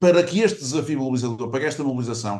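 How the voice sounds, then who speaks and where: A man is speaking. His intonation is lively. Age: 60s. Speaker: lawyer. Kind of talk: panel debate talk. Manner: halting, many fillers and restarts.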